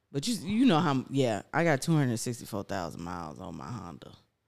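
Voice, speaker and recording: A woman speaks at a moderate pace in a very deep, low pitch, with very wide pitch swings and vocal fry. The recording is very clean, with a silent background and no noise. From Atlanta, Georgia. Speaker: podcast co-host. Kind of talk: casual chat.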